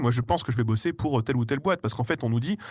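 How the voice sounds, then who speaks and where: On a very clean recording with a silent background, a man speaks at a very fast pace. His somewhat breathy voice sits at medium pitch with ordinary pitch variation. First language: not French (speaking French). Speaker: YouTuber, guest. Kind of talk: casual interview chat.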